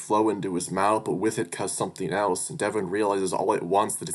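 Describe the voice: The passage is given as plain reading aloud with fairly even intonation.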